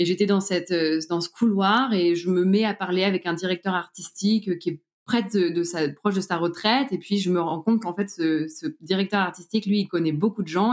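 This woman has a normal speaking voice, moving at a moderate pace with ordinary pitch variation. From Normandy, France. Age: 30s. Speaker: organic farmer and entrepreneur. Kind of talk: interview testimony.

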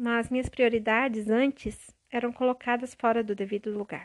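The delivery is at a moderate pace in a monotone, flat intonation. The sound is dry and close, with no echo. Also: woman, very clean recording, silent background. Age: 30s. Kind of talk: devotional monologue. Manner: warm, intimate.

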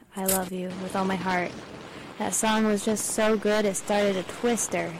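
Noticeable background noise sits behind a woman's voice. She speaks at medium pitch with monotone, flat intonation. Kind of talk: sarcastic college radio DJ patter, bantering on air between songs. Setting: studio.

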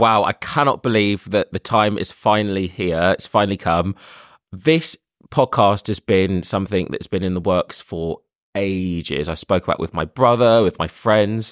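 With a London accent, a man speaks at a fairly low pitch and moderate pace, with ordinary pitch variation. The sound is dry and close with no echo, in a very clean recording with a silent background. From London, England. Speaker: podcast host. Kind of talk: casual monologue introduction.

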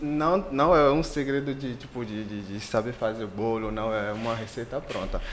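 Amid noticeable background noise and audible room echo, a man at a medium pitch talks at a moderate pace with ordinary pitch variation and hardly any pauses. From Benin. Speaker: entrepreneur and doctoral student. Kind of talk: casual chat.

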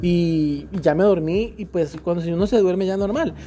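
Noticeable background noise is present throughout. The voice has an animated tone. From Colombian Caribbean coast (Magdalena). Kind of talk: casual chat. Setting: outdoors by a pool.

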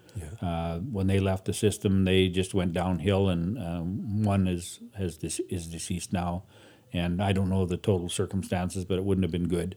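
With a Canadian Prairies accent, a man speaks at a moderate pace in a very deep, low pitch and a dark, mellow tone. His intonation is flat and monotone, and the recording is very clean with a silent background. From Canada, Saskatchewan. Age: 60s. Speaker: guest sharing life story. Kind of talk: personal testimony.

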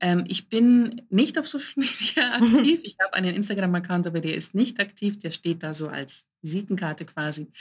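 On a very clean recording with a silent background, a woman speaks at a moderate pace in a somewhat breathy voice with very wide pitch swings. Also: medium pitch for a woman, hardly any pauses. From Germany, Greek immigrant family. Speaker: coach and author. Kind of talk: casual interview chat.

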